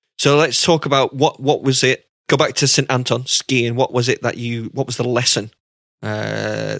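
A man with vocal fry speaks at a moderate pace and medium pitch, with fairly even intonation and a dry, close sound with no echo. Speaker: cricket fitness podcast host. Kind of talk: casual chat.

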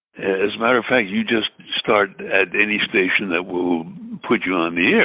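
A man's voice in an American accent, with ordinary pitch variation. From US Northeast (Brooklyn, New York). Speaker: radio disc jockey and voiceover artist. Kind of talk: casual interview conversation.

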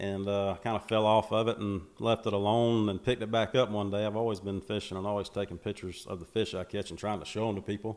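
A man's fairly low-pitched voice, very fast in pace, with monotone, flat intonation. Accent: Southern US. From US South, Macon, Georgia. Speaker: bass fisherman, social media personality. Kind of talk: casual interview. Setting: on location near a lake.

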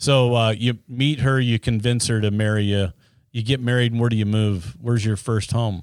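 A man with an American accent has a normal speaking voice, a medium pitch, a moderate pace and fairly even intonation. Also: very even loudness. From Utah (Ogden). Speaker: podcast host, former party official. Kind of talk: interview.

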